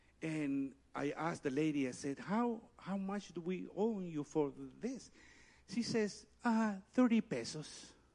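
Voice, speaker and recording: A very slow-paced man with a Spanish accent, high pitch and lively intonation. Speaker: pastor. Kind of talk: sermon. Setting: church. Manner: animated.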